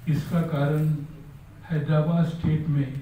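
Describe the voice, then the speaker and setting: Through audible room echo, a man speaks in a fairly high, monotone, flat voice. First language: Marathi (speaking Hindi). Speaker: scholar, speaker at book launch. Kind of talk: formal speech to an audience.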